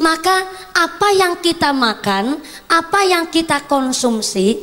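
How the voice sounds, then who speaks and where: A woman speaks with a Banyumasan accent. Her intonation is lively. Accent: Banyumasan (ngapak) Javanese. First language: Javanese (speaking Indonesian). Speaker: female Islamic preacher. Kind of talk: sermon. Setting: stage with PA system.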